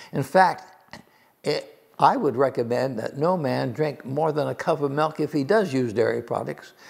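Over a quiet background, a man speaks at a moderate pace. His fairly high voice carries vocal fry and ordinary pitch variation. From China. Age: 90s. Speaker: nutrition professor. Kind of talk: educational talk. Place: home room. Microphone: lapel.

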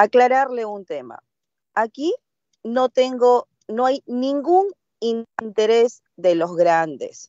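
A woman speaks at a very slow pace with very wide pitch swings, in a dry sound with no echo and a quiet background. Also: fairly high pitch for a woman. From Peruvian provinces, Andean region; Peru. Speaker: legislator. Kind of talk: parliamentary debate. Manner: halting. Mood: firm, argumentative. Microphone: video call.

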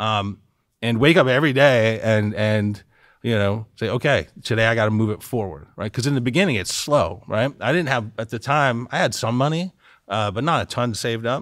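Over a quiet background, a man talks at a fairly quick pace and medium pitch with ordinary pitch variation, the sound dry with no echo. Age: 40s. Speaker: esports league co-founder; podcast guest. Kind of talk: casual interview; interview answer. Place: studio. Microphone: studio mic.

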